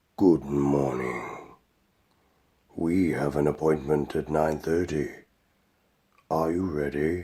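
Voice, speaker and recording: Using a put-on character voice, a man speaks at a very deep, low pitch in a raspy tone, at a fairly slow pace with fairly even intonation and long, frequent pauses. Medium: audio drama. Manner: calm, polite, unhurried.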